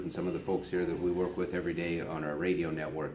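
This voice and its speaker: A man with an American accent talks very fast in a very deep, low pitch. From Montana, USA. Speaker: farm broadcaster, radio network owner and former state legislator. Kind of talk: acceptance speech at an industry award ceremony. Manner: warm, measured, conversational, with some hesitations.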